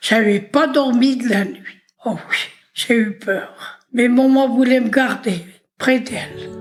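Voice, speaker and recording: With a high pitch, a woman speaks at a very slow pace. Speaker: elderly woman telling life story. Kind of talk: oral history interview. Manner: whispering at times; intense.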